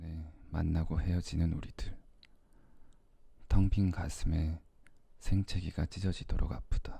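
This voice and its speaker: A man with a very deep, low pitch speaks at a fairly slow pace in a somewhat breathy voice, with fairly even intonation and long, frequent pauses. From Korea. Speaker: ASMR creator. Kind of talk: poetry reading. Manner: soft-spoken.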